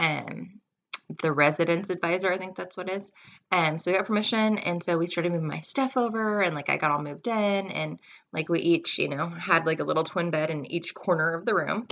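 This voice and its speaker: A woman's fairly low voice with a West Coast US accent, ordinary pitch variation and a fairly quick pace, against a quiet background. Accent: General American, West Coast. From US West Coast, California and Washington. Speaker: vlogger. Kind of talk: storytelling. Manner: casual, filler-heavy.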